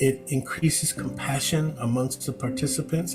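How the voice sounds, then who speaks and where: There is music playing behind this man. He has an American accent. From Chicago. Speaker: reverend, prison education facilitator. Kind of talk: personal testimony to camera.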